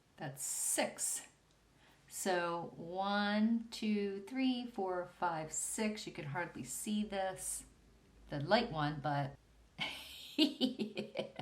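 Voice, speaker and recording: With lively intonation and a somewhat breathy voice, a woman speaks at a very slow pace, leaving long, frequent pauses. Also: medium pitch for a woman. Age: 60s. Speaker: beauty vlogger. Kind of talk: makeup tutorial talk to camera. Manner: casual, chatty.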